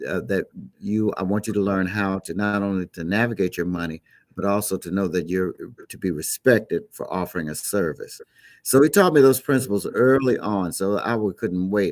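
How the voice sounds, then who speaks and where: In a plain, everyday voice with an American accent, a man speaks at a moderate pace and a fairly low pitch with ordinary pitch variation, in a very clean recording with a silent background and a dry, close sound free of echo. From Chicago, US Midwest. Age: 60s. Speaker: gospel musician. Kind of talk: interview.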